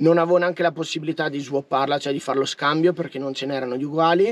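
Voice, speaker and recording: A man speaks at a very fast pace with fairly even intonation. His pitch sits fairly high. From Trentino, northern Italy. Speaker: van life vlogger. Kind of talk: casual vlog monologue. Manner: informal, chatty. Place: car.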